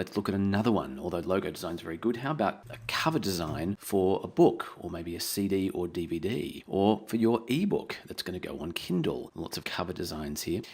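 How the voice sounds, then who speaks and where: A man with an Australian accent speaks at a fairly low pitch with lively intonation. His pace is fairly quick, with hardly any pauses. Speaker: online tutorial presenter. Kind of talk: tutorial.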